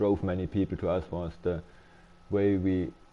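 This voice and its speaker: In a German accent, a man speaks with a very deep, low pitch, a dark, mellow tone and fairly even intonation. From Germany. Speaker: game streamer. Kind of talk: casual live-stream chat. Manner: halting, many repetitions and fillers.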